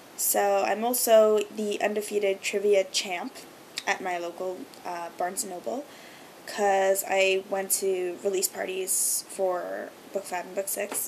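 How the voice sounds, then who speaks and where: A woman's medium-pitched voice at a fairly slow pace, fairly even in intonation, with big swings in loudness. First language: Hebrew. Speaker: video blogger. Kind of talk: casual vlog monologue. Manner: many filler ums.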